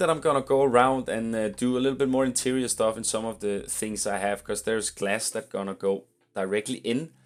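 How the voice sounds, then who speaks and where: Over music in the background, a man mumbles at a fairly quick pace in a medium pitch with lively intonation. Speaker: video game content creator. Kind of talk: gameplay commentary. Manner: mumbling; halting, many fillers.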